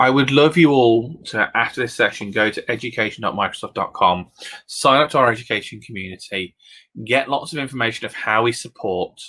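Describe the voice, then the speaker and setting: With a British accent and a bright, sharp tone, a man talks at a fairly quick pace and a medium pitch, using ordinary pitch variation. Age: 30s. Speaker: education technology consultant. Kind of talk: presentation with live demo. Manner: fast; animated.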